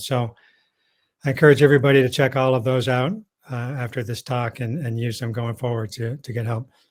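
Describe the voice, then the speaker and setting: This man's voice sits at a medium pitch and has a somewhat breathy quality. His intonation is fairly level throughout. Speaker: technical support engineer. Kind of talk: webinar presentation.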